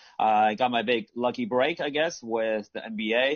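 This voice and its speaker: A man with an American accent at a fairly slow pace, music in the background. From US, California. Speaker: sports media executive. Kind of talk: panel discussion. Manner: hesitant, many fillers.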